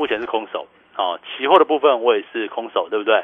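A fairly high-pitched man at a fairly quick pace. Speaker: stock market analyst. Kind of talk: radio market commentary. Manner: animated, laughing often.

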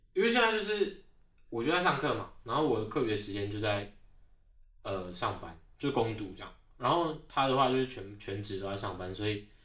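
A man speaks at a medium pitch and a moderate pace with lively intonation. Audible room echo surrounds his voice. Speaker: graduate student. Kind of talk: casual interview.

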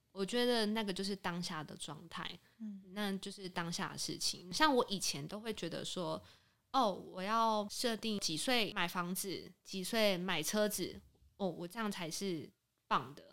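A woman speaks at a fairly slow pace and medium pitch, with ordinary pitch variation and an ordinary speaking voice. The recording is very clean, with a silent background. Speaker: insurance broker. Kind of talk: casual chat.

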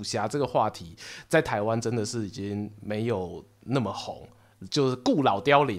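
His intonation is lively as the man talks. The recording is very clean, and the background is completely silent. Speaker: podcast host and storyteller. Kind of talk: casual chat. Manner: animated.

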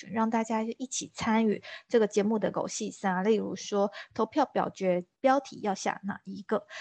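A normal speaking voice from a woman, fairly high in pitch, with fairly even intonation and a moderate pace, dry and close with no echo against a quiet background. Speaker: podcast host. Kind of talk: casual interview chat.

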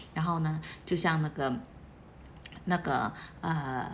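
A woman's fairly low voice with audible room echo. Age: 40s. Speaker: church member leading weekly bulletin study. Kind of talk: bible study talk. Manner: animated.

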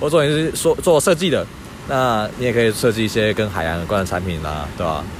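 Over noticeable background noise, a man with a fairly low pitch talks at a very fast pace, his pitch swinging very widely. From Taiwan, Keelung. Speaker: marine biology researcher. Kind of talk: casual interview. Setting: outdoors at the seaside.

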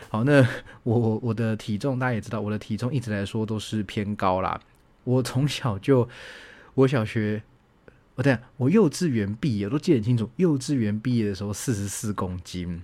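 A man with an ordinary speaking voice, medium pitch and ordinary pitch variation, at a moderate pace. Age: 30s. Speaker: university lecturer and podcast host. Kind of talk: casual solo monologue answering listener questions. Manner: relaxed, chatty with frequent filler particles.

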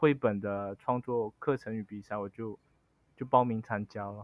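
A man talking at a fairly slow pace. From Malaysia (Chinese Malaysian). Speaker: picture book author and story museum director. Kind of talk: interview. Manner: halting, many fillers.

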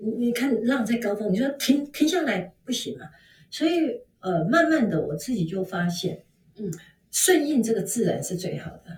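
A somewhat breathy woman speaks at a moderate pace and fairly high pitch. Her voice has very wide pitch swings and big swings in loudness. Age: 50s. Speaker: fashion consultant. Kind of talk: interview.

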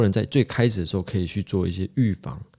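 A fairly dark, mellow male tone, recorded very cleanly against a silent background. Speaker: podcast host, psychology graduate student. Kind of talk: casual chat.

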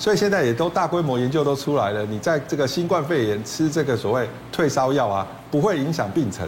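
Against noticeable background noise and audible room echo, a man talks fairly quickly at a fairly high pitch with lively intonation. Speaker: emergency medicine professor. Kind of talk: TV talk show explanation.

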